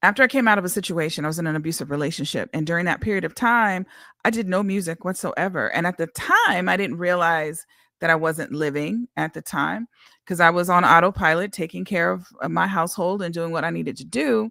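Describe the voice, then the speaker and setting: Bright and sharp in tone, a woman talks at a fairly quick pace with ordinary pitch variation on a very clean recording with a silent background. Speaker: independent singer. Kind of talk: casual livestream monologue. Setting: livestream.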